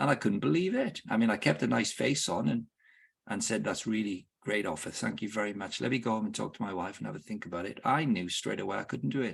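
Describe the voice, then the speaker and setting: A man's fairly low voice with vocal fry, lively intonation and a very fast pace. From Wales. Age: 60s. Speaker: football club director and sports ministry leader. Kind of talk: podcast interview. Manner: halting, with repetitions.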